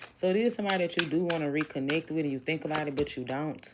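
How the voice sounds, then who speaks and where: Speaking at a very fast pace, a woman with an American accent has a very deep, low pitch and ordinary pitch variation. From Houston, Texas. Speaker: tarot reader. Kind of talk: livestream tarot reading. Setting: live stream. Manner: casual, conversational.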